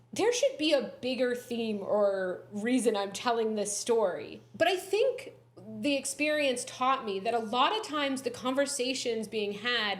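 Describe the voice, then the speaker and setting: Amid noticeable background noise and audible room echo, a woman speaks at a fairly slow pace and a high pitch with lively intonation. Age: 30s. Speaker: comedy writer and reality TV runner-up. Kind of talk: podcast interview, casual chat.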